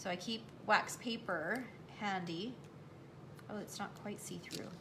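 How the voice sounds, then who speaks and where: Noticeable background noise and audible room echo surround a woman's medium-pitched voice. She talks fairly slowly with ordinary pitch variation. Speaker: craft demonstrator. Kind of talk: live craft tutorial. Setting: livestream.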